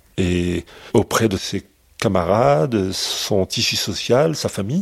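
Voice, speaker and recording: With an unremarkable speaking voice, a man talks at a fairly low pitch using lively intonation. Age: 60s. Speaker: father of kidnapped newborn. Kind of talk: testimony.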